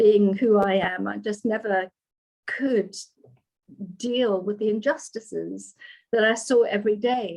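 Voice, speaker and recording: A woman's fairly high, somewhat breathy voice with a dark, mellow tone and a fairly slow pace. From South Africa, Johannesburg. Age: 70s. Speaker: yoga teacher and doula. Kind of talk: podcast interview.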